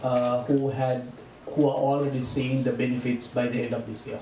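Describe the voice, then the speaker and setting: With audible room echo and light background noise, a man speaks at a moderate pace in a flat monotone. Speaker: real estate salesman. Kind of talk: interview. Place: cafe.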